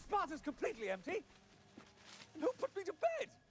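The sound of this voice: This put-on character voice moves at a moderate pace. Its pitch swings very widely. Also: man, extremely high pitch for a man.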